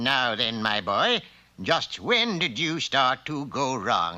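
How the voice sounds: Using a cartoonish character voice, a man speaks at a medium pitch. He goes at a very slow pace with very wide pitch swings.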